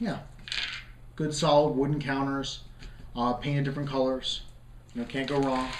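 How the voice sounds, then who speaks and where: A man's fairly high voice, fairly even in intonation, with long, frequent pauses, audible room echo and noticeable background noise. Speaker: board game reviewer and host. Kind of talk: unboxing video. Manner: fast; hesitant, many fillers.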